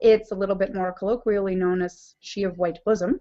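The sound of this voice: A woman talks at medium pitch and a moderate pace. Her intonation stays fairly even.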